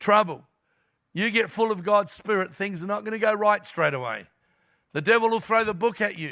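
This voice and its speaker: The voice is raised and projected, with a bright, sharp tone and ordinary pitch variation. It moves at a moderate pace on a very clean recording with a silent background. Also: man, high pitch for a man. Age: 60s. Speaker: guest pastor. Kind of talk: sermon. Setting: church.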